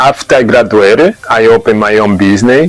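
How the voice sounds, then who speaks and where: Against noticeable background noise, a man with a Brazilian Portuguese accent speaks at a medium pitch with ordinary pitch variation. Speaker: massage therapist. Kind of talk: testimonial interview. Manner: halting.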